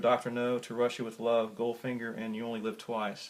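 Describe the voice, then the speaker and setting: A man at a medium pitch and a moderate pace. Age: 60s. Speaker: air gun reviewer. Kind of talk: product review. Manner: halting, many fillers.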